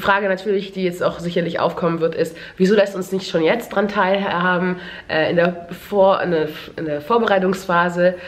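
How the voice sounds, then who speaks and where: Speech moves at a moderate pace with monotone, flat intonation. Noticeable background noise is present. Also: woman. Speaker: beauty and lifestyle YouTuber. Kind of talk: casual vlog. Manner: halting, many fillers.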